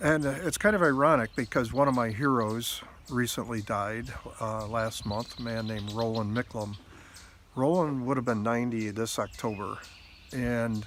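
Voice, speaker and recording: The man speaks at a medium pitch and a moderate pace, with ordinary variation in his pitch. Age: 60s. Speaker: video blogger. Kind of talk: personal reflection monologue. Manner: halting, many fillers and repetitions.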